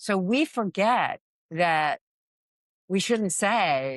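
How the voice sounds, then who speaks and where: Against a quiet background, a woman with an American accent speaks at a very slow pace, her medium pitch carrying lively intonation. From Florida. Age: 60s. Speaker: fishing captain. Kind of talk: casual chat. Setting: restaurant on the water.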